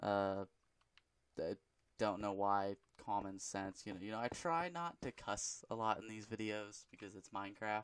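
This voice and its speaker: At a moderate pace, a man speaks with a fairly low pitch and ordinary pitch variation in a dry, close sound with no echo. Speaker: gaming youtuber. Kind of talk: gameplay commentary. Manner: halting; mumbling.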